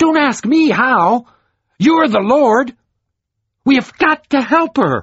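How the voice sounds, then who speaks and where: A put-on character voice, high-pitched and raised to project, comes with long, frequent pauses. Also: fairly slow pace. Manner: fuming, angry.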